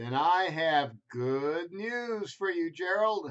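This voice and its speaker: A put-on character voice is raised and projected. It moves at a very slow pace. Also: man, high pitch for a man. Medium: read story. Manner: bright, cheerful.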